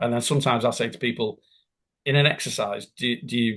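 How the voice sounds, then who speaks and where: With a normal speaking voice, a man talks fairly quickly at a medium pitch with ordinary pitch variation. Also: quiet background. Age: 60s. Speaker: business continuity consultant and tutor. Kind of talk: interview.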